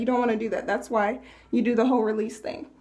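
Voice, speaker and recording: A woman's dark, mellow tone. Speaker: hair care vlogger. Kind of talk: tutorial. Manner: casual; whispering.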